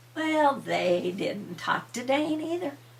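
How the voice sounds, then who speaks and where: A woman's fairly high voice with vocal fry and very wide pitch swings, at a very slow pace. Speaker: grandmother storyteller. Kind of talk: bedtime story telling.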